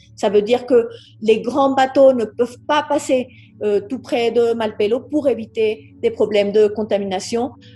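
A woman with a fairly high pitch speaks at a fairly slow pace, her intonation fairly even. Music plays in the background. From Colombia. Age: 50s. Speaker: naturalist and politician. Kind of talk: interview. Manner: halting.

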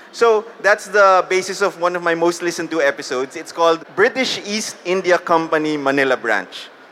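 A man with a high pitch at a fairly quick pace, over noticeable background noise. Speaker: podcast host and publishing veteran. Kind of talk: live panel storytelling. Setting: stage with audience.

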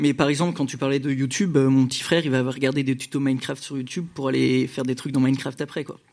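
The speech runs at a very fast pace with hardly any pauses and a monotone, flat intonation. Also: man, medium pitch for a man. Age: 20s. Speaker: audience member. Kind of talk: live audience question.

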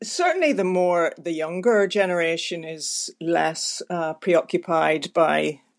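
Against a quiet background, a woman with a Belfast accent talks fairly slowly with hardly any pauses. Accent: Belfast Northern Irish. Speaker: writer and playwright. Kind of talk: interview.

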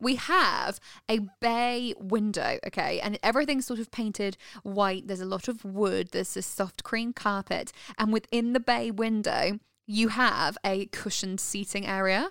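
Speaking at a moderate pace, a woman with a British accent has a fairly high pitch and ordinary pitch variation. The recording is very clean, dry and close with no echo, over a silent background. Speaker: podcast host. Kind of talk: casual chat.

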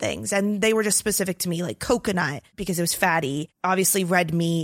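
This woman has a plain, everyday voice, fairly low in pitch with ordinary pitch variation. The recording is very clean, with a silent background and a dry, close sound without echo. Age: 20s. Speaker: wellness content creator and podcaster. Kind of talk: casual interview.

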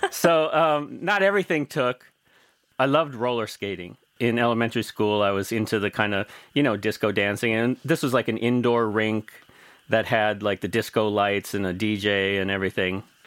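A man with an American accent, a normal speaking voice, fairly low pitch, ordinary pitch variation and a moderate pace. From US Midwest, rural Missouri. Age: 50s. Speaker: DJ and music producer. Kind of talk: interview. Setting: remote call.

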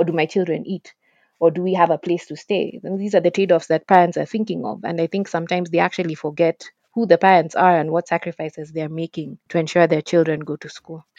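At a very fast pace, a dark, mellow tone carries fairly even intonation with big swings in loudness, in a dry, close sound with no echo and a quiet background. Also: woman, fairly low pitch for a woman. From Kenya. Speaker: education activist. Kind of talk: interview. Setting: remote call.

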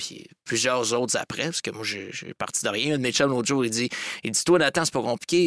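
A man's bright, sharp voice at a medium pitch and fairly quick pace, with ordinary pitch variation and a dry, close sound with no echo. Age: young. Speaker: entrepreneur, agency co-owner. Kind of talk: casual interview.

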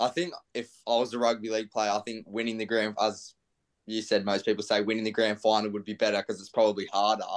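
Very fast, monotone speech from a man with a fairly low voice and an Australian accent. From Australia, Central Coast NSW. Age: 20s. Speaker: professional footballer. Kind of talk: casual interview.

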